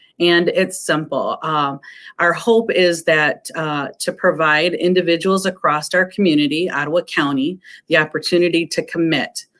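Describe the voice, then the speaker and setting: At a moderate pace, a woman with an American accent speaks in a fairly low pitch with fairly even intonation. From Fennville, Michigan. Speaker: nonprofit executive. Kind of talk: online panel discussion. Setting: live stream. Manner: hesitant, many fillers.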